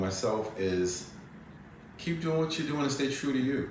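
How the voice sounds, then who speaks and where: A man speaks with lively intonation. Audible room echo and noticeable background noise surround him. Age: 60s. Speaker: holistic wellness practitioner and yoga teacher. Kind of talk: interview.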